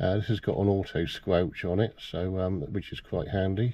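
A man's dark, mellow, low voice at a moderate pace with fairly even intonation

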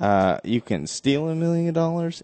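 A man speaks with lively intonation in an unremarkable speaking voice. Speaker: podcast co-host. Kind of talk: casual chat.

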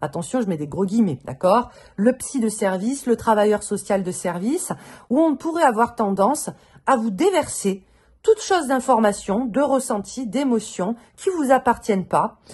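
Somewhat breathy and fairly high-pitched, a woman talks at a moderate pace with very wide swings in pitch. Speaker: tarot reader. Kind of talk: tarot reading video. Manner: casual, many hesitations.

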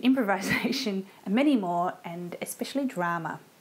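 The woman's intonation is lively, and her pace stays moderate. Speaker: music teacher. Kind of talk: tutorial. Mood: warm, cheerful. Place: home room. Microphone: lapel.

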